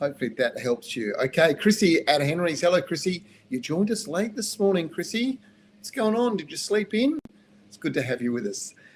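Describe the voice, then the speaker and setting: Speaking at a fairly quick pace in an Australian accent, a man uses a high pitch with very wide pitch swings and big swings in loudness. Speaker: gardening expert answering viewer questions. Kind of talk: live Q&A show. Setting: live stream. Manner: casual, conversational with hesitations.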